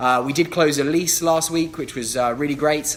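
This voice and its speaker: The speaker talks in a London accent with fairly even intonation. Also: man. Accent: southern English, London. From England. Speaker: real estate agent. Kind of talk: live Q&A stream. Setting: livestream. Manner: fast.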